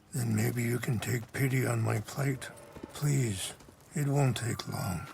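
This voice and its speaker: A man's put-on character voice, raspy and medium-pitched, at a fairly slow pace with very even loudness. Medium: video game. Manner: calm, soft-spoken, reflective.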